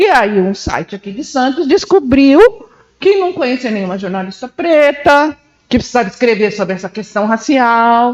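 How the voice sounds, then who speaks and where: A woman speaks at a fairly slow pace. Her high voice swings very widely in pitch. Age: 60s. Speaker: journalist. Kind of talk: panel discussion. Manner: intense, emphatic.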